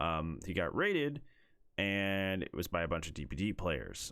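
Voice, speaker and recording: The intonation is lively. The recording is very clean, with a silent background. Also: man. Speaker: gaming YouTuber. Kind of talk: unedited rant. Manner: stern, not yelling.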